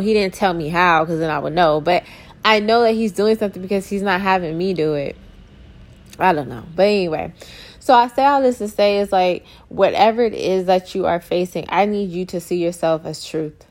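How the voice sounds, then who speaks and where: A woman speaks in a normal speaking voice at a moderate pace, with medium pitch and ordinary pitch variation. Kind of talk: encouraging sermon-like talk with prayer. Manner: warm, casual, conversational.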